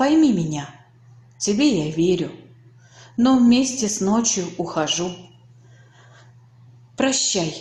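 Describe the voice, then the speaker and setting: Over noticeable background noise, a woman of medium pitch speaks at a very slow pace with very wide pitch swings and long, frequent pauses. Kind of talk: poetry reading.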